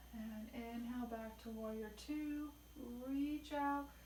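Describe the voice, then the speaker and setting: Over noticeable background noise, a soft-spoken woman talks at a fairly high pitch in a monotone, flat intonation. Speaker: yoga instructor. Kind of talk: yoga class instruction.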